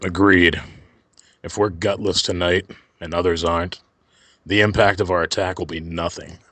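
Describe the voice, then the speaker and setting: A man puts on a character voice that is raspy and very deep, with monotone, flat intonation at a moderate pace. He leaves long, frequent pauses against a quiet background. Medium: audio drama. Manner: curt, domineering.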